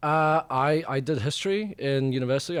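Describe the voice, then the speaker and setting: A man is talking. He speaks with a New Zealand accent. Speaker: journalist. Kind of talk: interview. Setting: studio. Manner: halting, many fillers.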